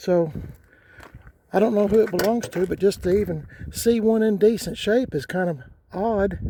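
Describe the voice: At a moderate pace, a man talks with high pitch and a dark, mellow tone.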